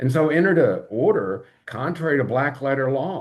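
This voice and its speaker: With an American accent, this speaker has an unremarkable speaking voice, lively intonation and a moderate pace. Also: man. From US, rural. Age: 60s. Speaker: lawyer. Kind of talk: live-stream monologue. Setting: live stream.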